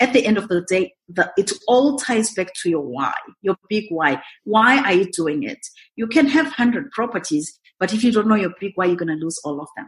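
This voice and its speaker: A woman's somewhat breathy voice at medium pitch, with very wide pitch swings and a moderate pace. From Zimbabwe. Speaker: real estate investor and mentor. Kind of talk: interview, conversational.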